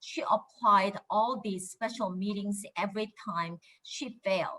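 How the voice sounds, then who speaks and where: Bright and sharp in tone, a woman with a Korean accent speaks at a medium pitch with ordinary pitch variation. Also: fairly slow pace. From Korea, raised in Japan. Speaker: congresswoman. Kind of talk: prepared speech.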